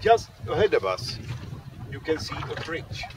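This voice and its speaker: A man's voice comes through with noticeable background noise and a dry sound that has no echo. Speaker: sailor guide. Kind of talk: casual vlog chat. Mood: humorous, relaxed. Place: boat. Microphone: phone near.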